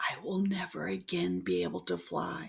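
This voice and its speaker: A raspy, put-on character voice whispers at a moderate pace. The whispering stays raspy throughout. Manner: whispering, sorrowful.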